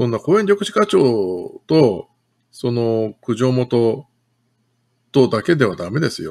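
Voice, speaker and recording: At a very slow pace, a man speaks with very wide pitch swings against a quiet background. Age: 50s. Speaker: city councillor. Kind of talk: political livestream commentary. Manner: casual, chatty. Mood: critical, indignant. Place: home room. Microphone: webcam.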